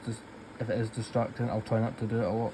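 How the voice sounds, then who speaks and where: A man speaks at a very fast pace. His voice sits at a medium pitch. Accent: Scottish. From Scotland. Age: 20s. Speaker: colouring YouTuber. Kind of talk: casual chat while colouring.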